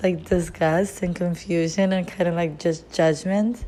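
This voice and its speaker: A woman's dark, mellow, medium-pitched voice at a fairly slow pace, with ordinary pitch variation. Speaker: lifestyle vlogger. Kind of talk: casual monologue. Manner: halting, stumbling over words.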